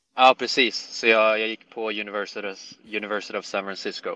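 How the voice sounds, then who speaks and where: The man's voice has a bright, sharp tone and monotone, flat intonation. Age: 20s. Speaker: professional golfer. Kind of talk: casual interview chat.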